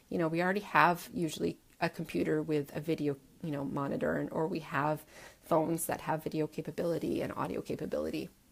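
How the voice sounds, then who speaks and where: Speaking at a very fast pace, a woman uses a very deep, low pitch with vocal fry and ordinary pitch variation. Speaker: online course coach. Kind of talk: live stream Q&A. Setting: facebook live video.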